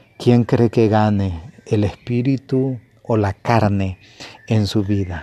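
On a very clean recording with a silent background, a man speaks with a fairly low pitch, a dark, mellow tone and fairly even intonation. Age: 50s. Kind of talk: sermon. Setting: home broadcast. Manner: halting.

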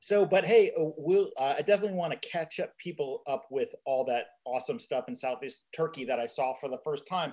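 A man with a fairly high pitch and an ordinary speaking voice talks at a fairly quick pace. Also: lively intonation. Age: 50s. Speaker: podcast host. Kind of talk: casual chat.

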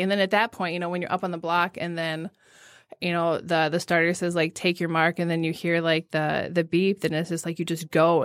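In a Midwestern American accent, a woman speaks in a flat monotone at a fairly low pitch, on a very clean recording with a silent background. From US Midwest, west central Illinois. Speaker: physical therapist and athlete. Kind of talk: interview conversation. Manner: frequent filler words.

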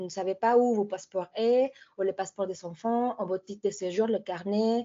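With a Spanish accent, a woman talks at a medium pitch with ordinary pitch variation. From Mexico. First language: Spanish (speaking French). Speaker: consultant on violence against women. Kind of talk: presentation.

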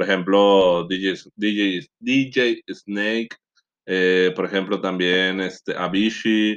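Against a quiet background, a man with a fairly low pitch speaks very slowly, his intonation fairly even. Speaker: podcast co-host. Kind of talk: casual chat.

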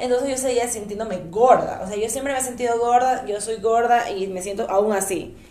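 Here a woman with a fairly high pitch speaks in an animated tone at a fairly quick pace. She barely pauses, and the room echo is audible. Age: 20s. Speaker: podcast host. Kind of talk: casual chat.

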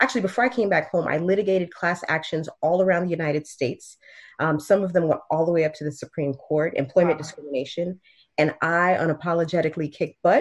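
A woman with an American accent talks at a very fast pace. Her pitch is fairly low, with ordinary pitch variation. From Miami, Florida. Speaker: state legislator and attorney. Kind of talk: interview.

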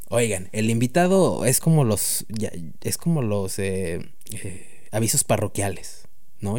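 Amid audible room echo, a man with a Mexican accent speaks in a dark, mellow tone with lively intonation. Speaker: podcast host. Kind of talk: casual chat. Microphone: new microphone.

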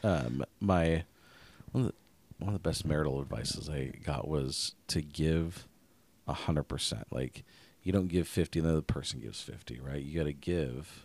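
Delivered at a moderate pace with an American accent, the speech has ordinary pitch variation. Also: man, very deep, low pitch for a man. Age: 30s. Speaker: podcast co-host. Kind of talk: casual chat.

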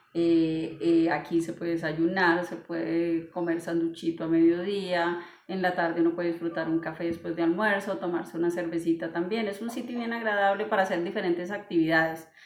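A woman with a fairly low pitch speaks at a fairly quick pace, with hardly any pauses and fairly even intonation, against noticeable background noise. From Vélez, Santander, Colombia. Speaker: coffee shop owner, coffee grower. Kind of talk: casual interview. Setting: coffee shop.

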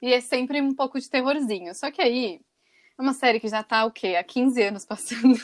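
A woman with a plain, everyday voice shows ordinary pitch variation on a very clean recording with a silent background. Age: 20s. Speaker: podcast co-host. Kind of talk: casual chat.

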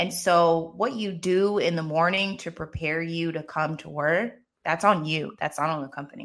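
On a very clean recording with a silent background, a woman in a normal speaking voice talks at a moderate pace with a fairly low pitch and ordinary pitch variation. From US, Maryland. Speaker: business and career coach. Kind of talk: casual interview chat.

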